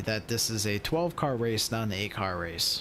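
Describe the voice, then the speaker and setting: A man speaks fairly quickly while noticeable background noise carries on. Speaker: sim racing streamer. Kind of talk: live commentary.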